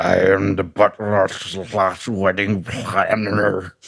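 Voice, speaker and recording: A put-on character voice moves at a very slow pace with monotone, flat intonation. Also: man, fairly low pitch for a man. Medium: actual play. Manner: formal, stiff.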